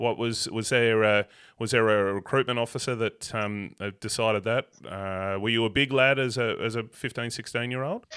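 This man has an Australian accent and a medium pitch. He talks at a moderate pace with fairly even intonation. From Tasmania, Australia (Avoca). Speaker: podcast host. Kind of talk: casual interview.

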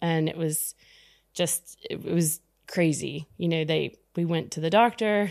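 A woman with an American accent speaks at a fairly slow pace in an unremarkable speaking voice. Her pitch is fairly low for a woman, with ordinary pitch variation. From US South, Texas. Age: 50s. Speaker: startup founder. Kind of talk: casual interview.

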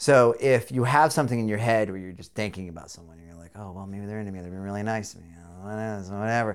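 Recorded very cleanly against a silent background, a man with a General American accent speaks at a fairly low pitch with big swings in loudness. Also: ordinary pitch variation. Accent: general American, deliberately enunciated. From rural Southern California. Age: 40s. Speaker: podcast host. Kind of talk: casual chat, profane.

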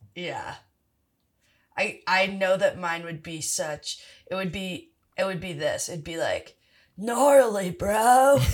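With a Californian accent, a woman speaks at a very slow pace and leaves long, frequent pauses. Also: medium pitch for a woman. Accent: sounds Californian, very casual. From Philadelphia. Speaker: writer, actor and improviser. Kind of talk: casual chat. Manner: very casual, laid-back.

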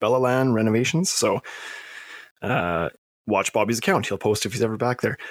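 This man has an unremarkable speaking voice at medium pitch with ordinary pitch variation, talking at a fairly quick pace in a dry, close sound with no echo on a very clean recording with a silent background. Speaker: podcast host. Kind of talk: casual interview.

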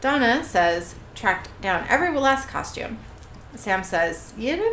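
Someone reads the text aloud in a plain way.

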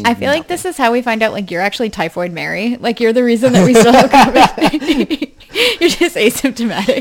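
Speaking at a fairly quick pace in a New Hampshire accent, the voice comes through noticeable background noise. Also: woman, high pitch for a woman, lively intonation. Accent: New England accent, New Hampshire. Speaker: podcast co-host.

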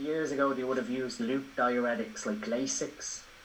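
With an Irish accent, a man speaks at a moderate pace, his fairly high pitch carried by lively intonation. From Ireland. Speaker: bodybuilding coach and physiology educator. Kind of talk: casual interview chat.

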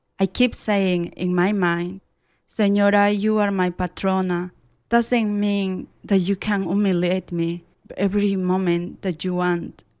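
On a very clean recording with a silent background, a woman speaks at medium pitch and a fairly slow pace in a monotone, flat intonation. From Peruvian Andes. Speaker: immigrant storyteller, former domestic worker. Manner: halting, hesitant.

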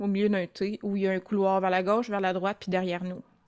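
This is a woman speaking on a very clean recording with a silent background. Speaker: tabletop role-playing game player. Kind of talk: casual chat. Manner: halting.

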